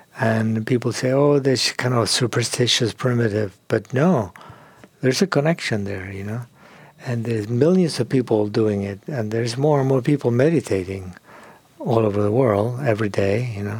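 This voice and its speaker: In a Spanish accent, a man with a medium-pitched, somewhat breathy voice speaks at a moderate pace with ordinary pitch variation. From Argentina. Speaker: psychologist and author. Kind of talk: interview.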